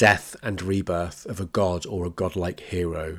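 A very clean recording with a silent background. The voice carries a British accent. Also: man. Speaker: podcast host. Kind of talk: solo educational talk.

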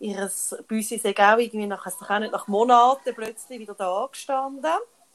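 A woman with an unremarkable speaking voice and fairly even intonation. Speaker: podcast co-host. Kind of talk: casual chat.

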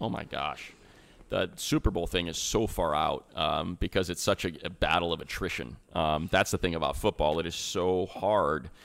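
In a very clean recording with a silent background, a man with an American accent speaks at a moderate pace, his very deep, low voice showing vocal fry and ordinary pitch variation. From US Midwest, Northwest Indiana / Chicago area. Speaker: sports play-by-play announcer. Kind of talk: casual chat.

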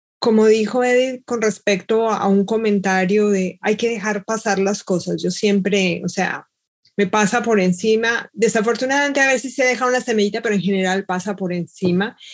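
She speaks in a normal speaking voice at a medium pitch. Her intonation stays fairly even at a moderate pace. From Colombia, Bogotá. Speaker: mathematics professor. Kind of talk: panel discussion.

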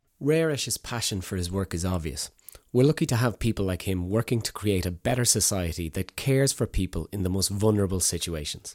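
A man with an Irish accent talks at a fairly quick pace and fairly low pitch, with lively intonation. The recording is very clean with a silent background and a dry, close sound with no echo. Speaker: podcast host. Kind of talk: scripted podcast intro. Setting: hotel room recording.

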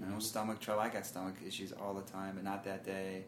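With an American accent, a man speaks at a fairly low pitch amid noticeable background noise. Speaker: marathon runner. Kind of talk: casual chat.

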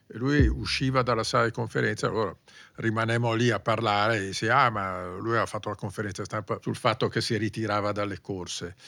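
Fairly low-pitched male speech with vocal fry and a bright, sharp tone, ordinary pitch variation and a fairly quick pace, on a very clean recording with a silent background. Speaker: motorsport journalist and podcast host. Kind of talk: casual chat about Formula 1.

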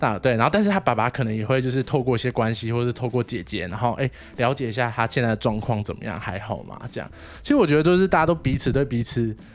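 A man speaks at a very fast pace. His medium-pitched voice has lively intonation. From Taiwan, Wanhua district of Taipei. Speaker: social worker. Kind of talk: casual interview chat.

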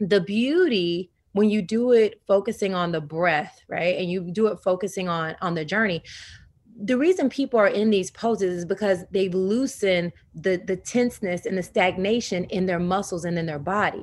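On a very clean recording with a silent background, an unremarkable speaking voice with an American accent proceeds at a moderate pace. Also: woman, medium pitch for a woman, ordinary pitch variation. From US South. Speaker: yoga teacher. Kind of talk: interview.

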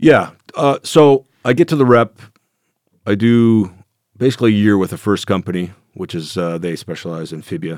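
A man with a Canadian accent speaks at a fairly low pitch, with lively intonation, big swings in loudness and long, frequent pauses. The recording is very clean with a silent background, and the sound is dry and close with no echo. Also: moderate pace. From Canada. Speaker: former legionnaire and military contractor. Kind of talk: interview storytelling.

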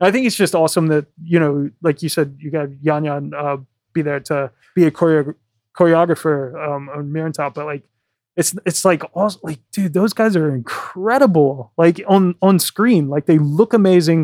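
Here is a man with an ordinary speaking voice and an American accent, pitched fairly high, talking at a moderate pace with ordinary pitch variation. The recording is very clean, with a silent background and a dry, close sound with no echo. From US South. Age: 30s. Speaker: podcast host. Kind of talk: casual interview. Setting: in-person recording in an office.

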